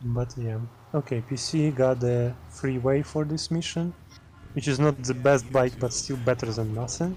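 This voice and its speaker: With music in the background, a man speaks at a moderate pace and medium pitch. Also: ordinary pitch variation. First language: German. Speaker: speedrun commentator. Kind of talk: live commentary.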